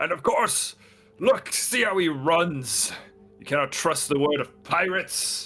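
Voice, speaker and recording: A man puts on a character voice, pitched high, with lively intonation and big swings in loudness at a fairly slow pace. Faint music plays in the background. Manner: loud, accusatory.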